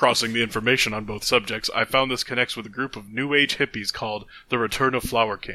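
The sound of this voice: This clip features an unforced reading voice.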